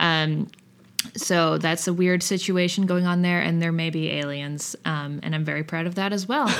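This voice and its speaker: Audible room echo surrounds a woman speaking at a moderate pace in an American accent. Her pitch is fairly low and her intonation fairly even. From Kentucky, then Boston area from age six. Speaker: musician. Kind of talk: interview.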